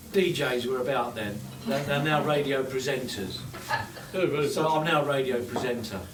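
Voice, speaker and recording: Speaking at a moderate pace and medium pitch, a man with a southern English accent is heard amid audible room echo and noticeable background noise. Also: ordinary pitch variation. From London. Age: 60s. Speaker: radio presenter and mayor. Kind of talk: informal speech to a small audience. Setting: pub office party. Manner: halting, repetitive.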